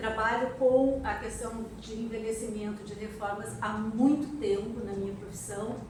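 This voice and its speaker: A woman's fairly high voice at a fairly slow pace with fairly even intonation, amid audible room echo and noticeable background noise. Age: 60s. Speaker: architect and activist. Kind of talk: panel talk at an event.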